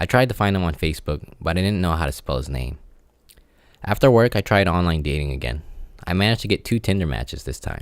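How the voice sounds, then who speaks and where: On a very clean recording with a silent background, a man with a very deep, low pitch and vocal fry talks at a very fast pace with lively intonation. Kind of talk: personal audio diary. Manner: awkward pauses, lip smacking; halting, unpracticed speaker.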